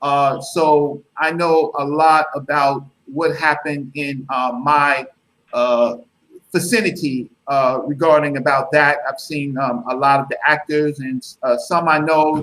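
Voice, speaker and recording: A man speaks fairly slowly with fairly even intonation. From New York City (Brooklyn, Bronx). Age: 50s. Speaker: guest speaker. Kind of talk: interview. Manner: halting, many fillers.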